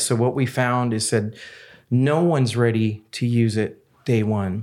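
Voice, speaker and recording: A man speaks in an ordinary speaking voice. His pitch is medium and his intonation fairly even. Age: 50s. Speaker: breathing device company CEO. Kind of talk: casual chat.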